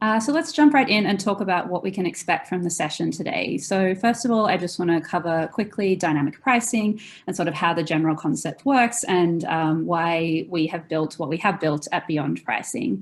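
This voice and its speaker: Speaking at a moderate pace with hardly any pauses, a woman with an American accent uses lively intonation. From Australia. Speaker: software company customer experience director. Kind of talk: webinar product presentation. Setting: video call webinar with screen share.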